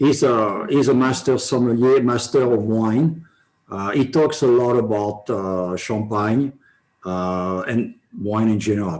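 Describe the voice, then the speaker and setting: The speaker has a French accent and talks at a fairly slow pace. Pitch varies in an ordinary way. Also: man, medium pitch for a man. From France, Bordeaux. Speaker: wine sales manager. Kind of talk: club talk to an audience. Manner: halting, many fillers.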